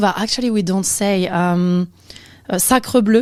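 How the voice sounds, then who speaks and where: Pitch variation is ordinary, and the pace is fairly slow. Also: woman. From France, Amiens area. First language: French. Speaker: amateur boxer and chef. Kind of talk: casual interview. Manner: hesitant, many fillers.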